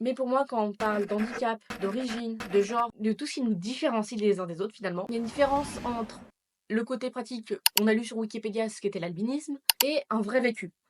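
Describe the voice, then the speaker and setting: A woman with a normal speaking voice talks fairly quickly in a fairly high pitch, with ordinary pitch variation. The sound is dry and close, with no echo. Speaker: YouTuber. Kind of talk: personal vlog. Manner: casual.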